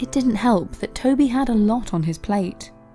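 A woman's voice with ordinary pitch variation, music playing in the background. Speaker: video narrator. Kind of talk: documentary story narration.

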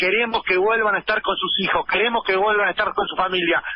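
This man has a high-pitched voice with fairly even intonation. Noticeable background noise runs behind him. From Argentina, La Plata. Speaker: activist, former political prisoner. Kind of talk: phone interview. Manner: halting.

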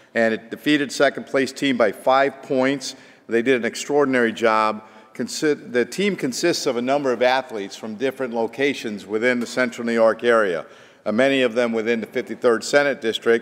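Fairly even intonation from a man keeping a moderate pace. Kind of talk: formal floor speech. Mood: proud, congratulatory. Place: hall. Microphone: podium.

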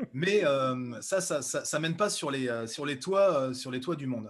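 Against a quiet background, a man speaks at a fairly high pitch with lively intonation. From central France (Berry, Bourges); France. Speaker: speed skier and entrepreneur; interview guest. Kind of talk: interview. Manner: hesitant, with many repetitions. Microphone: video call.

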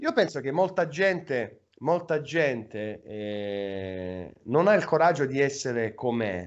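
A man talks at a very slow pace with very wide pitch swings. He leaves hardly any pauses, and the background is quiet. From Apulia, Salento (San Michele Salentino); Apulia. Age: 30s. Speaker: web radio host. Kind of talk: casual chat. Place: home room. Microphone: video call.

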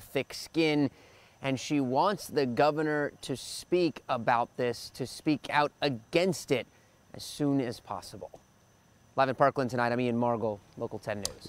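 With ordinary pitch variation, a man speaks at a fairly slow pace in a dry sound with no echo. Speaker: TV news reporter. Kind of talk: live news report sign-off. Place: street. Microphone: lapel.

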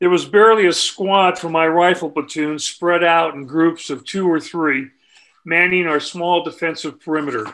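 A man with an American accent talks at a moderate pace, his pitch high and his intonation fairly even. His tone is bright and sharp. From California. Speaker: war veteran; author. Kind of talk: book reading. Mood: somber war narrative. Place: home room. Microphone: webcam.

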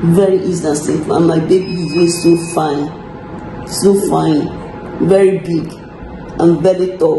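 Over noticeable background noise, a woman speaks at a fairly slow pace and fairly low pitch with monotone, flat intonation. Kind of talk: casual vlog chat. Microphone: phone near.

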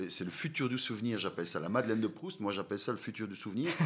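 This is a man speaking. His intonation is lively. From Belgium, Wallonia near Limburg border. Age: 40s. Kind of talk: interview. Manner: halting.

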